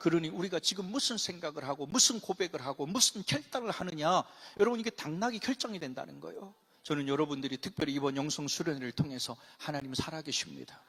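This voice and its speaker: A man talks very fast in a fairly high voice. His intonation is lively. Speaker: pastor. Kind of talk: sermon. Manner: animated.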